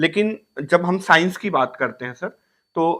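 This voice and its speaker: Against a quiet background, a man talks in a high pitch with a bright, sharp tone and ordinary pitch variation. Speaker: podcast host. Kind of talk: interview questions.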